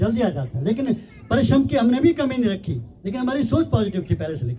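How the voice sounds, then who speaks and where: A man speaking at a moderate pace. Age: 70s. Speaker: village elder, guest speaker. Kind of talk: public speech at prize ceremony.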